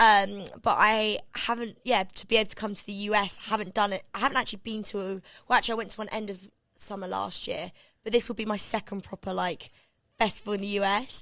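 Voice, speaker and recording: Against a quiet background, a woman with a British accent speaks very fast at a medium pitch, in a bright, sharp tone with monotone, flat intonation. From England. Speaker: pop singer. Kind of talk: interview. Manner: fast, filler-heavy.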